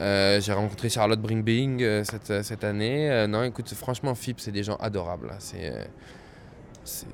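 Pitched fairly low, a man speaks at a fairly slow pace with ordinary pitch variation. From France, Créteil (Paris suburbs). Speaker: jazz pianist. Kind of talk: interview.

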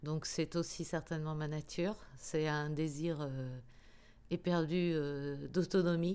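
Very slowly and with long, frequent pauses, a woman speaks in a very deep, low pitch and a dark, mellow tone, her intonation monotone and flat. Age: 50s. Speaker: radio professional. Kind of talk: interview. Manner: halting.

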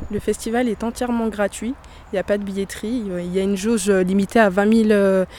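A woman talks at a medium pitch in an ordinary speaking voice. The intonation stays fairly even. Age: 20s. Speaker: youth festival organizer. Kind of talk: interview.

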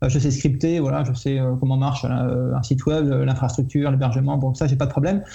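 Over noticeable background noise, a man speaks at a fairly quick pace with a medium pitch, very even loudness and monotone, flat intonation. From Paris region, France. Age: 40s. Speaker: website creator, IT professional. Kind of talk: casual podcast interview.

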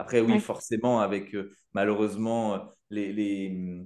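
A man speaks in an ordinary speaking voice, pitched fairly low. His intonation stays fairly even against a quiet background. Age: 30s. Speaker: podcast host. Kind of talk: casual chat.

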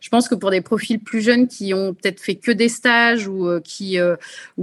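A woman speaks at medium pitch with ordinary pitch variation. Hers is a plain, everyday voice. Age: 30s. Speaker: MBA graduate in marketing. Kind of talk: webinar testimony. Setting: video call.

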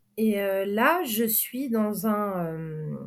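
A woman with a medium pitch speaks on a very clean recording with a silent background. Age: 30s. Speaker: sailing boat captain. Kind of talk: interview. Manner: halting.

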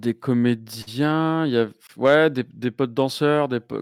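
Very slowly, a man talks with fairly even intonation. The recording is very clean, dry and close, with a silent background and no echo. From southern France. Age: 40s. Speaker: YouTuber. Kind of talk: casual chat.

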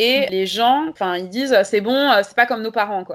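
A woman speaks in a normal speaking voice at a fairly quick pace with ordinary pitch variation, on a very clean recording with a silent background. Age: 30s. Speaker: history and geography teacher, feminist activist. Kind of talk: interview.

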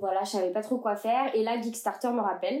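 This woman's pitch sits fairly high. Her tone is dark and mellow. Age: 20s. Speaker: young expat traveler. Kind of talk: casual interview.

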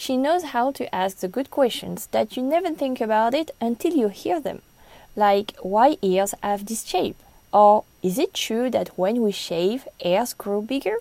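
A woman with a French accent speaks slowly-ish, at a fairly slow pace, in a fairly high pitch with a dark, mellow tone. Her intonation is lively, and the sound is dry and close with no echo. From France. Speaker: podcast host. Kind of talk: solo podcast recommendations.

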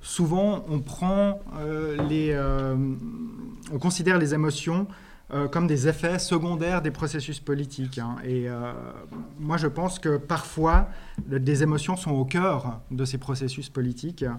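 A man's fairly high voice with ordinary pitch variation, very slow pace and audible room echo. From Switzerland. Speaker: anthropologist, associate professor. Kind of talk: conference talk. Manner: hesitant, many repetitions and fillers.

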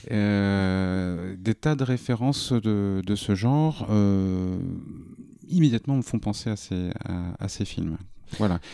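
A man's dark, mellow voice at a fairly low pitch, very slow in pace with ordinary pitch variation, on a very clean recording over a silent background. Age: 40s. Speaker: publishing worker. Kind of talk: casual chat.

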